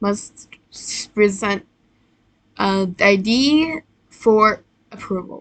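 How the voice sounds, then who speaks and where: A woman speaks very slowly at a fairly high pitch, with ordinary rises and falls. Her speech is broken by long, frequent pauses. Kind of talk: casual gameplay commentary. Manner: hesitant, stuttering.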